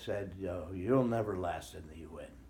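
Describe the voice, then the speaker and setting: With lively intonation and a moderate pace, a man speaks amid audible room echo. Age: 70s. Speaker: former UN refugee agency official. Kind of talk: interview.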